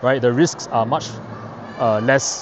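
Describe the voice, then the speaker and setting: A man speaks over noticeable background noise. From Singapore. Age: late 30s. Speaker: investing youtuber. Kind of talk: casual explainer vlog. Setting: outdoors touring Shanghai. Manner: hesitant with many fillers and repetitions.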